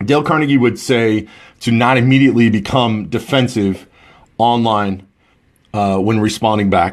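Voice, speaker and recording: A man of medium pitch speaks at a moderate pace with ordinary pitch variation and very even loudness, leaving long, frequent pauses. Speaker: social media marketing host. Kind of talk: live stream talk. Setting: Facebook live stream. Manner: rambling, halting with fillers.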